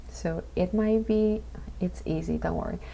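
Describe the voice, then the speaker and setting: A woman speaking quietly. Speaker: international student. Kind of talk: casual talk to camera. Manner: quiet, low voice.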